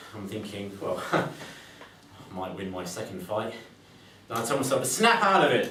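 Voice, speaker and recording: Over noticeable background noise, a man with a fairly low pitch talks at a moderate pace, his pitch swinging very widely. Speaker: judo competitor. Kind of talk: prepared speech at a speaking club.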